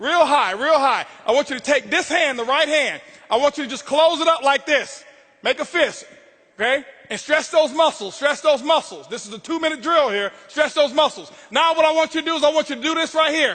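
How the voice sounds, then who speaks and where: Speaking with an American accent at a fairly quick pace, a man with an extremely high pitch sounds intense and animated. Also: ordinary pitch variation. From Florida, Tampa. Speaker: motivational speaker. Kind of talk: motivational speech. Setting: stage with audience. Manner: loud, yelling; intense, animated.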